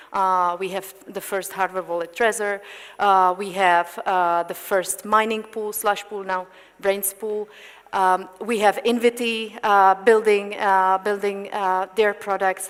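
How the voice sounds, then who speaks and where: The speaker talks very slowly in a Czech accent with monotone, flat intonation. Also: woman, medium pitch for a woman. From Czech Republic. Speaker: panel moderator. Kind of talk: panel discussion. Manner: halting, many fillers.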